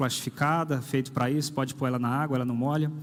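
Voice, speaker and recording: A man talks at a fairly quick pace. His voice is fairly high in pitch. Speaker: pastor. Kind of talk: sermon. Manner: conversational, with hesitations.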